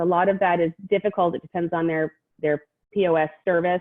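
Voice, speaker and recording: A woman with an American accent, fairly low in pitch, at a fairly quick pace with ordinary pitch variation. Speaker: tourism marketing executive. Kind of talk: virtual meeting presentation. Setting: video call.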